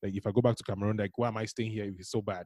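A man speaks with a dark, mellow tone that is somewhat breathy. The sound is dry and close with no echo. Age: 30s. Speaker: creative entrepreneur. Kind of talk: casual chat. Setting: podcast recording.

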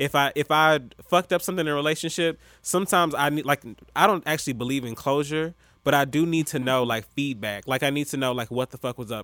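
At a very fast pace, a man with a fairly high pitch and a bright, sharp tone speaks with ordinary pitch variation, on a very clean recording with a silent background and a dry, close sound with no echo. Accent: American. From US South, Atlanta. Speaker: podcast host. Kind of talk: casual chat.

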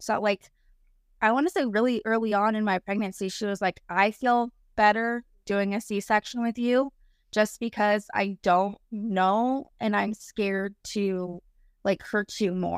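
In a very clean recording with a silent background and a dry, close sound with no echo, a woman with an ordinary speaking voice talks at a fairly slow pace, her fairly high pitch held in fairly even intonation. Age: 30s. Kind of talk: personal storytelling interview. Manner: casual, with frequent fillers like um.

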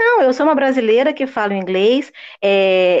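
At a moderate pace, a woman uses a normal speaking voice with a fairly high pitch and lively intonation. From Rio de Janeiro, Niterói. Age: 50s. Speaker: English teacher. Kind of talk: interview.

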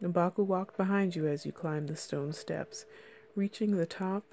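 With ordinary pitch variation, a natural reading voice carries the passage.

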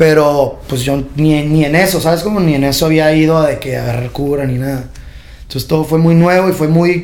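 Audible room echo surrounds a man who speaks at a moderate pace in a fairly high pitch with fairly even intonation. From Tijuana, Mexico. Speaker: trap artist and clothing designer. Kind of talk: casual interview. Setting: podcast studio.

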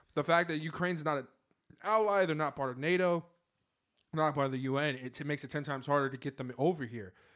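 On a very clean recording with a silent background, a man with an American accent speaks very fast at a fairly high pitch with ordinary pitch variation. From Seattle, US Pacific Northwest. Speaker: podcast co-host. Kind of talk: casual chat.

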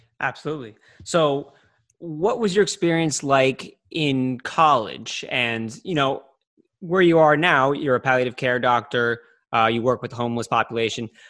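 A man talks at a moderate pace in a normal speaking voice with ordinary pitch variation. The recording is very clean, with a silent background. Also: medium pitch for a man. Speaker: podcast host. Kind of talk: interview with ad read.

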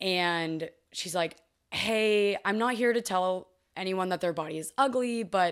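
On a very clean recording with a silent background, a woman uses an ordinary speaking voice with a fairly low pitch and ordinary pitch variation. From Texas, Fort Worth. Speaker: former college dancer. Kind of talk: casual chat.

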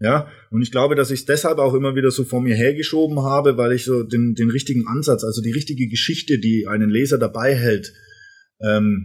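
At a fairly quick pace, a man talks in a somewhat breathy voice at a medium pitch with ordinary pitch variation. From Franconia, Germany (Erlangen). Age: 30s. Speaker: brand management coach and author. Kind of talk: casual interview. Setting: studio.

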